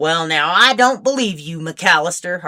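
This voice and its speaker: A woman's put-on character voice, fairly low in pitch, with lively intonation and a moderate pace. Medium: read story. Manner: blunt, threatening.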